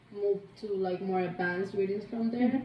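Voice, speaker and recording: At a moderate pace, a woman speaks at a medium pitch with ordinary pitch variation amid noticeable background noise. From Cuba. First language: Spanish. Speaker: interviewee, coworker. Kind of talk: casual interview. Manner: hesitant, many fillers.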